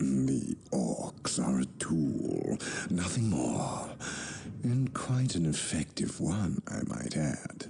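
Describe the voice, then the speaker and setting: Against clear background noise, a man in a put-on character voice speaks at a very slow pace with a very deep, low pitch and very wide pitch swings. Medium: video game. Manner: smooth, formal.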